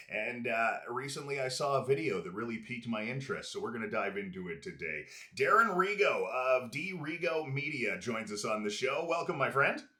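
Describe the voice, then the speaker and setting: A man with a Canadian accent, fairly high pitch and very wide pitch swings, at a fairly quick pace with hardly any pauses, amid noticeable background noise and audible room echo. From Prince George, British Columbia, Canada. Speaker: podcast host, former radio host. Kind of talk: casual interview chat. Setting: studio with camera. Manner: polished radio delivery.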